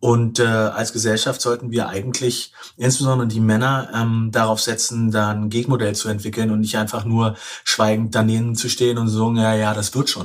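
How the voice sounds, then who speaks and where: A man's voice at a moderate pace, monotone and flat in intonation. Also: medium pitch for a man. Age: 40s. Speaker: author and journalist. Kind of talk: interview. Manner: halting.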